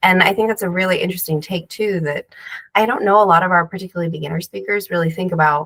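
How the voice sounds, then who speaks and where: A woman talks at a fairly quick pace with ordinary pitch variation. The sound is dry and close, without echo. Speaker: speaker training host. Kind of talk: interview. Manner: fast.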